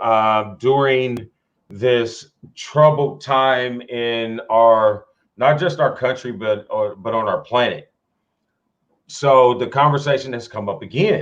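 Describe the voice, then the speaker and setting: A man talks very slowly at a medium pitch, his pitch variation ordinary. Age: 40s. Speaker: sports talk show host. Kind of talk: casual chat. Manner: halting, many fillers.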